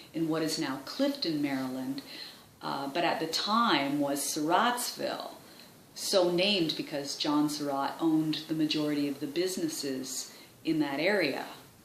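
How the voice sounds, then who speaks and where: Noticeable background noise runs under a woman's voice. She speaks at a moderate pace with a very deep, low pitch and ordinary pitch variation. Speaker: voice actor. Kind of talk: documentary-style historian narration, explanatory.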